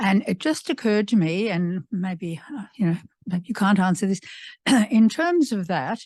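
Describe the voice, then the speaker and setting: Against a quiet background, a somewhat breathy woman talks at a moderate pace and medium pitch with lively intonation. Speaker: audience member. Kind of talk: audience question.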